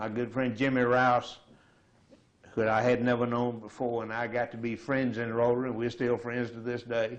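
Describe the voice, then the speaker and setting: With a Southern US accent, a man speaks at a moderate pace and medium pitch, his intonation flat and monotone. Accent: Southern American. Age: 70s. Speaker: retiree. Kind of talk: oral history interview.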